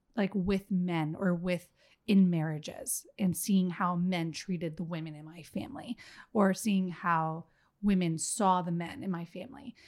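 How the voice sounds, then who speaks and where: A woman with a normal speaking voice and an American accent, medium in pitch, at a fairly slow pace, with ordinary pitch variation and big swings in loudness. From Miami, Florida. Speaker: podcast guest, mother. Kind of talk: casual chat.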